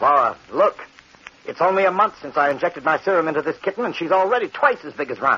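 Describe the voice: This put-on character voice moves at a fast pace with a bright, sharp tone, a slightly husky edge and big pitch swings. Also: man, fairly high pitch for a man.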